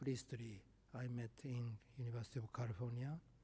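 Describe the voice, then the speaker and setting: A man with a medium pitch speaks in a dark, mellow tone that is somewhat breathy. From Japan. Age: 70s. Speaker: professor. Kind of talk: lecture. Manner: halting.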